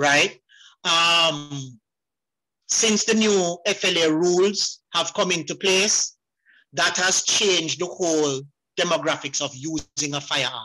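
Speaking at a very slow pace with long, frequent pauses, a man has a high pitch, a bright, sharp tone and ordinary pitch variation. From Jamaica, Portland. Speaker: farmer and hunter. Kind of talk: audience question. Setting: video call.

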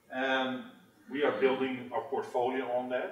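Audible room echo surrounds the man as he talks. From Netherlands. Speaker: tech industry manager. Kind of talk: conference presentation. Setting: stage with audience. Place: meeting room.

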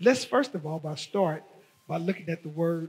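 A man's high-pitched speech with ordinary pitch variation, at a moderate pace. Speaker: pastor. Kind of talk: sermon. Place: church. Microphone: headset.

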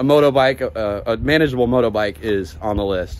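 A man talks at a medium pitch. His pitch varies in an ordinary way.

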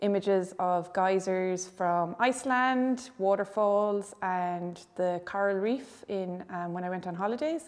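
Speaking at a fairly slow pace, a woman with a western Irish accent uses a medium pitch. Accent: Irish (west of Ireland). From Ireland, Galway; Ireland. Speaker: visual artist. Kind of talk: gallery tour interview. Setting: art gallery. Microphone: lapel.

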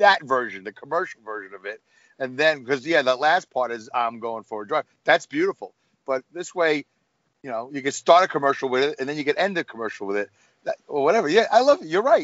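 Very wide pitch swings and big swings in loudness at a fairly quick pace, with an American accent. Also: man. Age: 50s. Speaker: truck driver and podcaster. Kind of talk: casual chat. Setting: video call.

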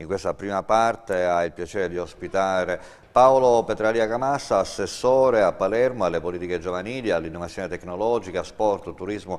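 This man has an ordinary speaking voice, pitched fairly low. His intonation is lively. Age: 50s. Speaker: tv talk show host. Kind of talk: political interview. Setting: studio. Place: studio. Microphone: lapel.

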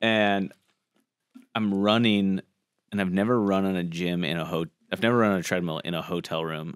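In a very deep, low pitch and with an American accent, a man speaks at a moderate pace with long, frequent pauses, the sound dry with no echo and the background quiet. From Colorado and Florida, US. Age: 30s. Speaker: podcast host, former cooking show contestant; podcast host. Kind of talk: casual chat. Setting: studio. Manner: animated. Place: studio. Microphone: studio mic.

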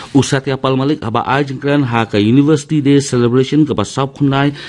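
A man is speaking at a moderate pace. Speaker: radio newsreader. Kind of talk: news reading. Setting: studio. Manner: formal; steady, even-paced bulletin delivery. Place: studio.

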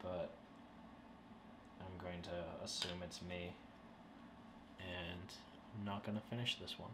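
Loud background noise around a man speaking at a fairly slow pace. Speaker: hobby woodworking channel host. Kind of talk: casual vlog chat. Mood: wry, self-mocking. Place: home room. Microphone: camera far.

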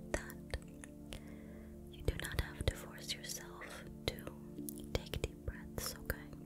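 A woman talks at a very slow pace, and loud background noise fills the recording. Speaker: ASMR artist. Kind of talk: guided meditation for sleep. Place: home room. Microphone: studio mic.

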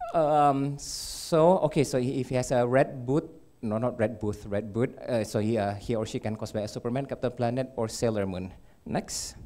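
A man speaks at a moderate pace. His tone is dark and mellow, with ordinary pitch variation. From Malaysia. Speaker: electrical engineer, cosplayer, community leader; conference presenter. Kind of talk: conference talk. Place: hall.

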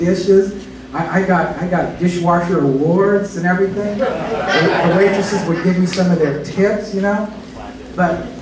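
Audible room echo and noticeable background noise are heard. A man's speech moves at a moderate pace. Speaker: pastor. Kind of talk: sermon. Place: church.

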